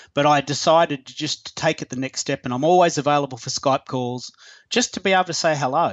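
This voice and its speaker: A man with an Australian accent talks very fast in a fairly high pitch. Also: big swings in loudness. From Melbourne, Australia. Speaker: online business owner. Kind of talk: casual interview chat. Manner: casual, chatty, hesitant with fillers.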